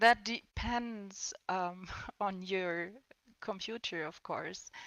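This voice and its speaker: The speaker talks with a non-native accent and fairly even intonation. The pace is very slow. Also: woman, medium pitch for a woman. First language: not English. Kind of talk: panel discussion. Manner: halting.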